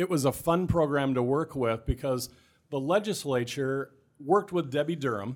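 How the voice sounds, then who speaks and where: A man at medium pitch with a Midwestern American accent, on a very clean recording with a silent background. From Southwest Iowa. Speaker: state economic development specialist, former city council member. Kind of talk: interview.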